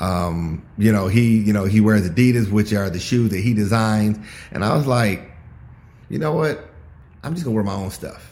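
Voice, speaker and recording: Audible room echo surrounds a man's fairly low voice. He has ordinary pitch variation and a moderate pace. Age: 50s. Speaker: entrepreneur and mentor. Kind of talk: casual chat. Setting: video call.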